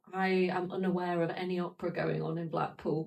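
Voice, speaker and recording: A woman with a Manchester accent speaks at a medium pitch in a monotone, flat intonation. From northern England, Peak District (Glossop) and South Manchester. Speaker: opera singer. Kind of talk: podcast conversation.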